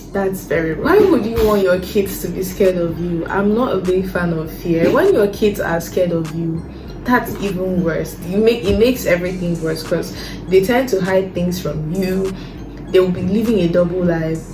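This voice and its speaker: A woman speaks at a moderate pace with fairly even intonation. Audible room echo and noticeable background noise are present. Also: medium pitch for a woman. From Nigeria. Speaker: lifestyle vlogger. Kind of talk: casual talk to camera.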